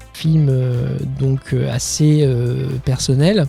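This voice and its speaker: A man talks with fairly even intonation over music in the background. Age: 30s. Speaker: film director. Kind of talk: interview answer. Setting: podcast studio. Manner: hesitant, with stuttering and repetitions.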